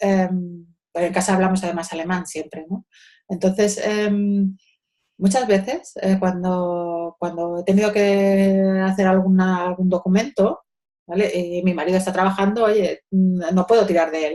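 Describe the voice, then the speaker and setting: The voice has a dark, mellow tone and a flat, monotone delivery at a fairly slow pace. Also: woman, medium pitch for a woman. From Spain, Madrid. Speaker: social educator. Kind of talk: interview. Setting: video call. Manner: halting.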